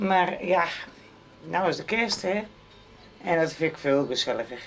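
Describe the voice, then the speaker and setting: Fairly slow speech with very even loudness and ordinary pitch variation, over noticeable background noise. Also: woman, fairly low pitch for a woman. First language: not Frisian speaker; speaks Dutch (speaking Dutch). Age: 60s. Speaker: interviewee, wife and carer. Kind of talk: casual chat.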